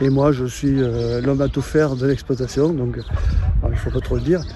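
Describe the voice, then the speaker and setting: Noticeable background noise fills the recording. Through it, a man speaks at a medium pitch. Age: 60s. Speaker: retired cattle farmer. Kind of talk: casual interview. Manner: halting, many hesitations.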